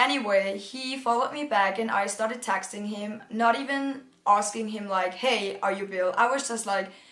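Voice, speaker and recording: A woman with a German accent speaks at a medium pitch and a moderate pace, in an animated, bright, sharp tone with ordinary pitch variation. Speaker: youtuber. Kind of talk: storytime vlog. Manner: casual, animated.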